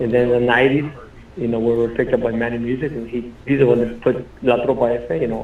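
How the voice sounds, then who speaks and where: A man with an American accent talks at a very fast pace in a monotone, flat voice. Room echo is audible. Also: medium pitch for a man. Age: 60s. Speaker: Tejano musician. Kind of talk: interview. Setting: radio studio. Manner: casual, halting with repetitions.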